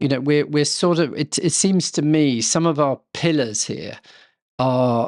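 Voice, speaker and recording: A man with an English accent speaks at a fairly slow pace. His pitch is fairly high, with ordinary variation. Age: 60s. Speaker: estate custodian. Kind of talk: casual chat. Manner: halting.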